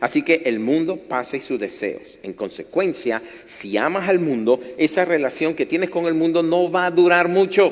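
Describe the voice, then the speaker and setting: A man's fairly high voice with lively intonation at a moderate pace, set against noticeable background noise. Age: 60s. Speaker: pastor. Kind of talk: sermon. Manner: conversational, engaging audience.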